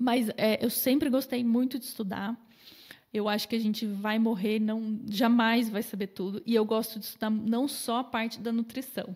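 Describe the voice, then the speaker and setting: Somewhat breathy, a woman with a fairly high pitch speaks in a monotone, flat intonation. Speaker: nutritionist. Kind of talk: podcast interview. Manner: fast.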